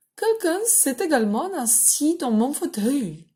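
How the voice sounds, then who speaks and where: A woman's put-on character voice at high pitch, with very wide pitch swings and a fairly slow pace. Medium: read story.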